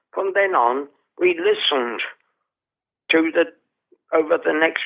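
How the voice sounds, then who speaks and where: A man with an English accent, lively in intonation, at a fairly slow pace. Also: long, frequent pauses, very even loudness. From England. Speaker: theatre actor and director. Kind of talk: interview storytelling.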